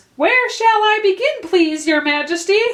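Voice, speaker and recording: Using a put-on character voice, a woman speaks squeakily at an extremely high pitch, with lively intonation and a moderate pace. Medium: read story. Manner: respectful.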